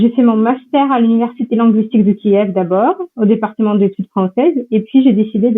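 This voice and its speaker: A normal speaking voice from a woman, fairly high in pitch, with ordinary pitch variation and a moderate pace. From Ukraine, Donbass. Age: 20s. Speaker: university researcher and lecturer. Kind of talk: interview.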